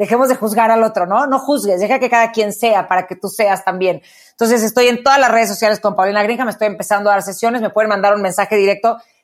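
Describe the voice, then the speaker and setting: An animated tone at a very fast pace. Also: woman, fairly high pitch for a woman, hardly any pauses. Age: 40s. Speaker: radio host and motivational speaker. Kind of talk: interview about personal growth.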